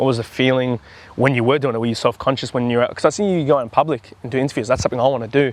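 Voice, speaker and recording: A man speaks with an Australian accent. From Australia, Campbelltown (Sydney). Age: 20s. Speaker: footy content creator. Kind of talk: casual chat. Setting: outdoors.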